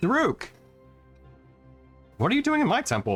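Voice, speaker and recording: With faint music in the background, a man does a put-on character voice at an extremely high pitch and a moderate pace. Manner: commanding, thunderous.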